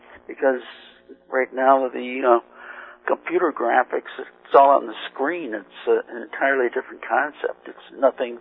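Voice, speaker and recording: A man speaks at a moderate pace with big swings in loudness over noticeable background noise. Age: 60s. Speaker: pinball artist. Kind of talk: interview. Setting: phone call.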